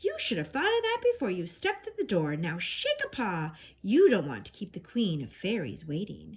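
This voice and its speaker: A woman speaks in a put-on character voice at a moderate pace. She hardly pauses at all. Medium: read story.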